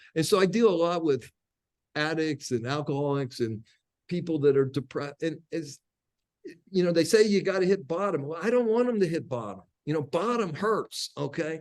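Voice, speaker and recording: Lively intonation marks this man's voice. He has a fairly high pitch and a moderate pace. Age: 60s. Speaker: coach for addicts and alcoholics. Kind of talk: podcast interview. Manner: halting, with many repeated words.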